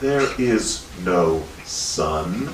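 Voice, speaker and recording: Putting on a character voice, a man speaks softly in a very deep, low pitch, with clear background noise and slight echo. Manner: slow, grave, hypnotic.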